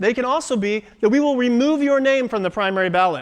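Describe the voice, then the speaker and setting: A very fast-talking man with an American accent and lively intonation. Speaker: state party committee member. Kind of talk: political speech.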